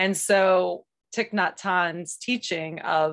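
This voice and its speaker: Over a quiet background, a woman with an American accent speaks in a fairly low voice with ordinary pitch variation. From US. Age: 40s. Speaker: yoga teacher and healer. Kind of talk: casual interview.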